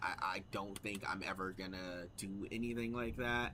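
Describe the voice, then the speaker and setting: Flat, monotone intonation marks this man's speech. His pitch sits fairly low. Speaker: gaming streamer. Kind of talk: casual chat. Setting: live stream. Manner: talkative.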